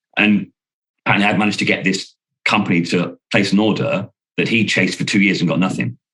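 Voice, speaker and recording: Lively intonation from a man with an English accent and a fairly low pitch. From UK. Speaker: sales trainer. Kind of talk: casual chat. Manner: loud; animated.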